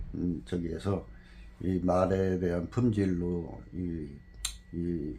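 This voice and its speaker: Somewhat breathy and very deep, a man's low voice has a dark, mellow tone and ordinary pitch variation, heard with audible room echo. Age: 60s. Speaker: former jockey and horse trainer. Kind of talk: interview.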